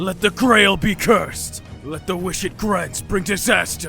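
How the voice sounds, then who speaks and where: Over clear background music, a man does a put-on character voice, raised and projected, at a moderate pace. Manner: furious, shouting.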